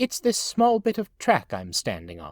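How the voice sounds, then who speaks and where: A put-on character voice at a moderate pace, in a very clean recording with a silent background. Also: man. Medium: read story. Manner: calm, smiling.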